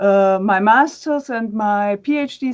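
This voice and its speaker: Against a quiet background, a woman speaks with lively intonation at a fairly high pitch. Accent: German. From Germany. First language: German. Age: 40s. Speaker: academic and fan page administrator. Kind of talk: interview. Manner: halting, many fillers.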